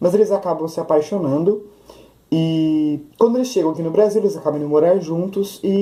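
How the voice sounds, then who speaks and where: His pitch moves in an ordinary way. This man keeps up a fairly quick pace. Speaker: book youtuber. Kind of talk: casual book review vlog. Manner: fast.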